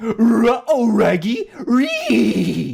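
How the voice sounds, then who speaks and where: This is a put-on character voice. It sits fairly high in pitch. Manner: cartoonish, comic impression.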